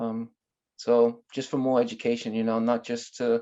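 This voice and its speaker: A man with a Boston accent, medium in pitch, at a moderate pace. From Boston, Massachusetts. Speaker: navy sailor. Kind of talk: casual interview.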